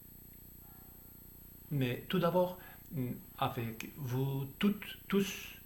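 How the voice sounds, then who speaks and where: With a non-native accent, the speaker sounds somewhat breathy and uses lively intonation amid audible room echo. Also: man. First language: Spanish or Basque (speaking French). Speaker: theologian. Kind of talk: lecture. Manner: formal; slightly halting.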